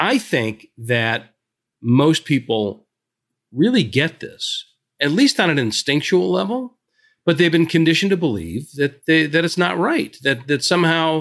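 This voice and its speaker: A man's fairly high voice with very wide pitch swings, at a fairly slow pace, in a very clean recording with a silent background. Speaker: leadership author and speaker. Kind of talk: podcast interview. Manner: loud.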